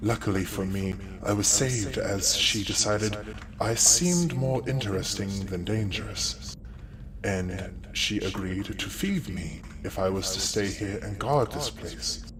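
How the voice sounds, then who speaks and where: A man's put-on character voice, fairly low-pitched and moderately paced, over loud background noise. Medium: actual play. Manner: polite, formal, courteous.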